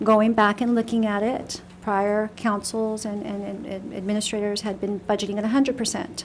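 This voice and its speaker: A woman speaks at medium pitch and a moderate pace with monotone, flat intonation. There is noticeable background noise. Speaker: city finance official. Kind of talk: budget presentation at council meeting. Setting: city council meeting room. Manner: soft-spoken. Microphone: echo in the room.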